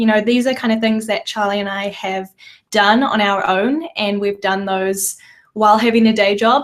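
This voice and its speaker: Here a woman speaks with a New Zealand accent. Her pitch is fairly high and her pace fairly quick. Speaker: podcast co-host, designer. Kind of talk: casual chat. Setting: live video stream, in a room together.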